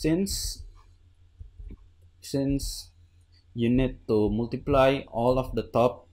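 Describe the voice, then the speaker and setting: A man speaks at a very slow pace, leaving long, frequent pauses. His pitch variation is ordinary, and the background is quiet. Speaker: Minecraft redstone builder. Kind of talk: tutorial voice-over explaining a build. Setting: home recording with new microphone. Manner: hesitant, stuttering. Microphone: studio mic.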